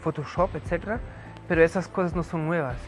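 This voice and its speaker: A man's fairly high-pitched voice with music in the background. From Germany. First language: German (speaking Spanish). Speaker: history professor. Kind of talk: lecture. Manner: hesitant, many fillers.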